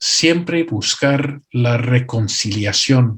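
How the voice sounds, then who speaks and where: A man speaks at a medium pitch with lively intonation. His delivery is very slow and somewhat breathy. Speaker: pastor and missionary. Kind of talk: conference workshop talk. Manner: occasionally halting, self-correcting.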